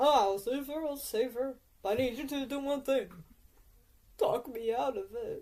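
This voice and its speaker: Someone uses a high-pitched, put-on character voice at a moderate pace, with long, frequent pauses. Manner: fearful, pleading.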